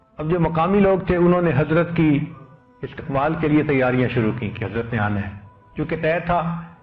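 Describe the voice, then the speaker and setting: Over music in the background, a man talks at a fairly high pitch with lively intonation. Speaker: Islamic scholar giving a religious sermon. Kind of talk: Islamic sermon (bayan) on humility and anonymity.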